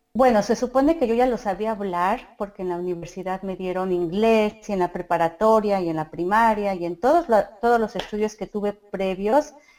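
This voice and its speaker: The pace here is moderate. Pitch varies in an ordinary way. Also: woman. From Mexico City. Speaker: mother and community group organizer. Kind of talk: interview.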